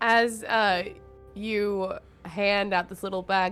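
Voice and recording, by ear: Natural read-aloud speech, its intonation fairly even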